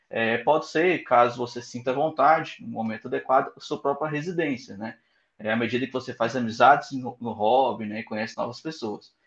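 With a normal speaking voice, a man of medium pitch talks at a moderate pace, his pitch varying in an ordinary way. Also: quiet background. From Goiânia, central-west Brazil. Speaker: app founder, software engineer. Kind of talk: interview.

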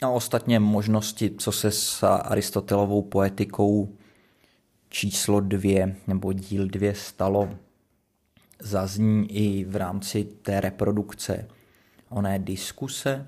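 Very slowly and in a monotone, flat intonation, a man speaks with a fairly low pitch and a dark, mellow tone. The recording is very clean with a silent background. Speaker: podcast host, literary commentator. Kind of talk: solo analytical reading commentary.

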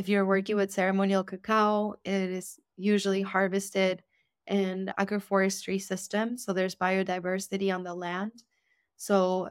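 A woman with a Spanish accent, medium pitch and monotone, flat intonation at a moderate pace, on a very clean recording with a silent background. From Argentina. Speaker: ceremonial cacao educator. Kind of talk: interview; guided blessing.

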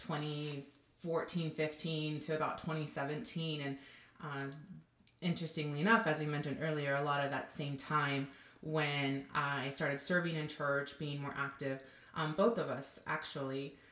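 Fairly even intonation at a fairly slow pace, with audible room echo. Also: woman. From Southern California. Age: 30s. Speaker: nonprofit worker. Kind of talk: testimony.

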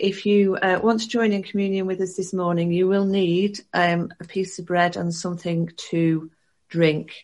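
Against a quiet background, a woman talks in a monotone, flat intonation. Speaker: church service host. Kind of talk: church service hosting, casual. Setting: online church service over video call.

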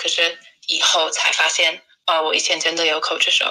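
Here a woman speaks with an English accent. Her pace is fairly quick. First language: English (speaking Chinese). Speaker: English teacher and traveller. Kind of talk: casual interview. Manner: halting, with repeated words and fillers.

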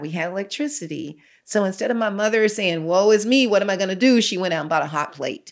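A woman talks fairly quickly at a medium pitch with lively intonation and hardly any pauses, in an unremarkable speaking voice. The recording is very clean, with a silent background. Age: 60s. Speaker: pastor. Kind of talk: testimony.

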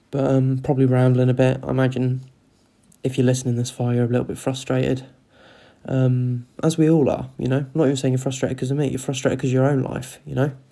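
Soft-spoken and with a Cornish accent, the speaker talks at a very fast pace. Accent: Cornish English, regained after time away. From Cornwall, England. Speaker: solo podcaster practising talking. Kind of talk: casual solo chat, swearing. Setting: home, kids sleeping upstairs. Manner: soft, kept quiet.

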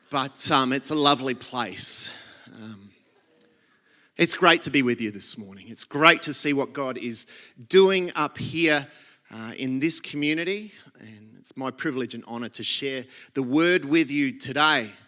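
A man with an Australian accent and a fairly high, bright, sharp voice, ordinary pitch variation and big swings in loudness, on a very clean recording with a silent background. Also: fairly slow pace. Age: 40s. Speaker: pastor. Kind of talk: sermon.

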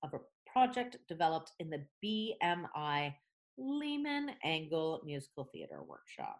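In a normal speaking voice, a woman with a Canadian accent talks at a fairly low pitch with ordinary pitch variation. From Canada. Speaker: theatre director, podcast co-host. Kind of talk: casual chat. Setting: remote recording.

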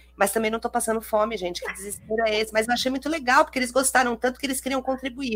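A woman at a very fast pace with a fairly high pitch. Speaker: podcast host and teacher. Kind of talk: casual chat. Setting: live stream. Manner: animated.

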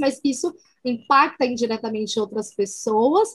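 A woman speaks at a fairly slow pace. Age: 40s. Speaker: social responsibility coordinator. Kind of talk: casual interview.

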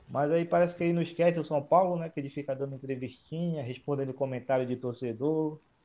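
At a very fast pace, a man talks in a dark, mellow tone, his fairly high pitch showing ordinary variation. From Manaus, northern Brazil. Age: 20s. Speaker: football fan guest. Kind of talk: casual chat.

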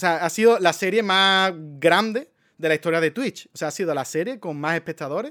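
A man talks at a high pitch with a bright, sharp tone, lively intonation and a moderate pace. The very clean recording has a silent background and a dry, close sound with no echo. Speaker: content creator. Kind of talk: casual monologue. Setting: live stream. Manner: animated.

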